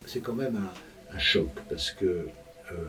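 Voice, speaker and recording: A man's voice over noticeable background noise. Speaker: elderly interviewee. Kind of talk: interview. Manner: halting.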